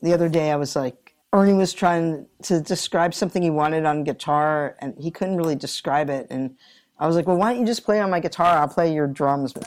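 Very clean recording with a silent background, a plain, everyday voice, ordinary pitch variation, and a fairly quick pace. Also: woman, fairly low pitch for a woman. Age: 60s. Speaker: guitarist and vocalist. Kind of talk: casual interview.

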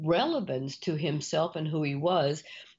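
Here a woman speaks with a South Texas accent. She goes at a fairly slow pace with ordinary pitch variation. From US South, Rio Grande Valley, Texas. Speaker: business consultant and CEO. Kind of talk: interview. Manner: high-energy.

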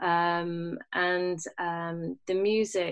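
A woman with a London accent, fairly low in pitch, with fairly even intonation. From London and Bahrain. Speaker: jazz musician. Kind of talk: interview.

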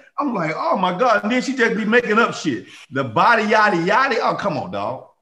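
Bright and sharp, a man's high voice comes out raised and projected, animated in tone and at a fairly quick pace. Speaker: guest, friend of host. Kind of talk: casual banter. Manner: animated, joking.

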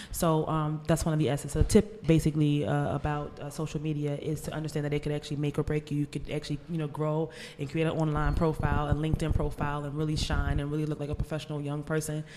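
Over noticeable background noise, a woman talks very fast with hardly any pauses. Her voice is very deep and low, with monotone, flat intonation. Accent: Philadelphia. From US, Philadelphia. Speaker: author. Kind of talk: casual interview.

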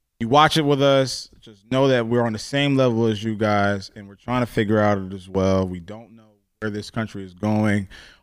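A man with an American accent and an unremarkable speaking voice talks in a fairly low pitch at a moderate pace, with ordinary pitch variation and hardly any pauses. His loudness swings widely, and the recording is very clean, with a silent background. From New Jersey. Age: 30s. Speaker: radio host and podcast co-host. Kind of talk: casual chat. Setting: studio.

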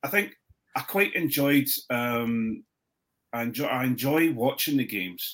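Speaking with an Edinburgh accent at a medium pitch, a man talks at a fairly slow pace with ordinary pitch variation and long, frequent pauses. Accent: Scottish (Edinburgh). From Scotland, Edinburgh. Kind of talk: casual chat. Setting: video call.

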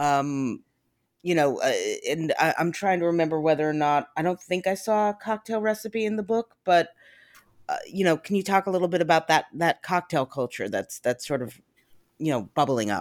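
A woman's ordinary speaking voice with lively intonation at a moderate pace, on a very clean recording with a silent background. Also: fairly low pitch for a woman. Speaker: podcast host and food blogger. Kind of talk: casual interview.

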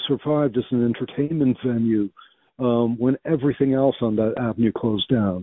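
This is an unremarkable speaking voice with ordinary pitch variation, delivered at a fairly quick pace. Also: man. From Belgium, raised in US from childhood. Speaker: writer. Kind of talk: interview. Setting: phone call.

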